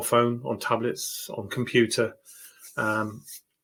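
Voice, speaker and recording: A man with a British accent, at a medium pitch. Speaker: tech YouTuber. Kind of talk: home tour tutorial. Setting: home. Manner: hesitant, many fillers.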